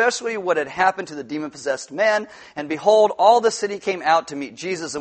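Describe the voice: What you hear is plain reading aloud.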